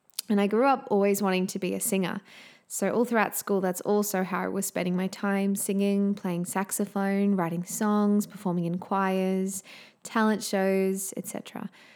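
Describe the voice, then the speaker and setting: In an Australian accent, a woman speaks at a medium pitch and a moderate pace. Her intonation is monotone and flat, and the recording is very clean with a silent background. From Queensland, Australia. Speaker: podcast host, singer and music teacher. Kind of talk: solo podcast introduction, warm and personal.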